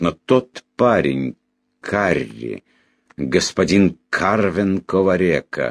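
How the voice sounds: A natural reading voice is heard, with a quiet background behind it.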